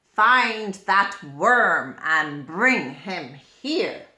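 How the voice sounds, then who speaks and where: Using a put-on character voice, this woman holds a medium pitch. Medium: read story. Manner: domineering, threatening.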